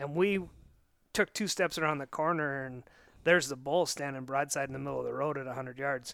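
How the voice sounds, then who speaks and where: With a plain, everyday voice and an American accent, a man talks at a fairly quick pace and fairly high pitch with ordinary pitch variation, in a very clean recording with a silent background. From Montana. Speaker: saddle hunter. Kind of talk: casual chat. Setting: hunting lodge.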